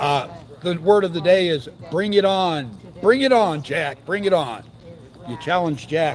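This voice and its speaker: Loud and with lively intonation, a man speaks at a high pitch and a fairly slow pace, taking long, frequent pauses. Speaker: citizen activist speaker. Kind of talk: casual livestream commentary. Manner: animated.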